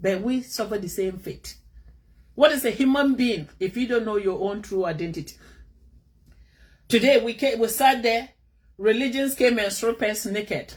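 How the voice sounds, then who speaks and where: A somewhat breathy, fairly high-pitched woman with an animated tone, ordinary pitch variation, moderate pace and long, frequent pauses. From northern Ghana. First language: a Ghanaian language. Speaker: vlogger. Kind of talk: opinion monologue.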